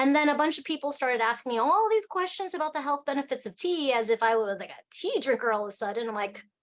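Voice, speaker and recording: Against a quiet background, a woman with an Alaskan accent speaks in a high, animated voice with very wide pitch swings. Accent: American, Alaskan. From Alaska, US. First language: Cantonese. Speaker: tea company founder. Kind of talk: casual chat.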